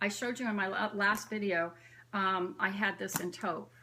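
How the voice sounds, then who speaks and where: A woman speaks in a normal speaking voice at a moderate pace and a medium pitch. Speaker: bag collector vlogger. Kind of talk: casual show-and-tell vlog. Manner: chatty, filler-heavy.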